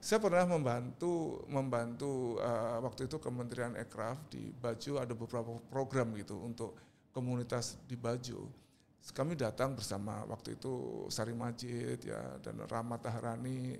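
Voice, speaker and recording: In an unremarkable speaking voice, the words come at a moderate pace with fairly even intonation. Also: man, medium pitch for a man. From Indonesia, East Java (Surabaya). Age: 60s. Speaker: artist and cultural figure. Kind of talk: podcast interview.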